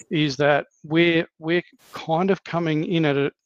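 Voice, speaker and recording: Recorded with a dry, close sound and no echo, a man with an Australian accent speaks with fairly even intonation. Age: 50s. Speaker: podcast host. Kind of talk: casual chat.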